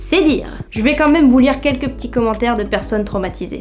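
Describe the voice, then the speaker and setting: Her pitch is high for a woman, and this woman's voice shows ordinary pitch variation. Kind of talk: humorous commentary to camera. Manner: casual, joking.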